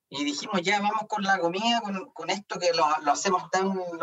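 At a moderate pace, a man speaks in a high pitch with ordinary pitch variation. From Chile, Concepción. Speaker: business owner, former miner. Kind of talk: interview.

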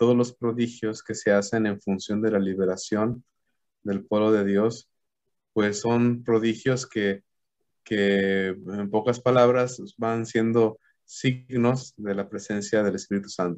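A man's medium-pitched voice at a very slow pace. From Mexico, Aguascalientes. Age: 30s. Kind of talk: theological talk in an interview. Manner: halting with fillers.

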